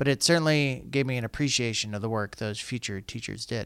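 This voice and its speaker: A man with an American accent and a plain, everyday voice, medium pitch and ordinary pitch variation at a fairly quick pace, in a very clean recording with a silent background. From Colorado. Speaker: school district communications podcast host. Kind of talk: scripted narration; podcast interview.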